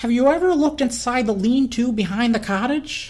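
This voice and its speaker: A woman does a put-on character voice at a high pitch. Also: fairly quick pace. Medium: read story. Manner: eager, chatty.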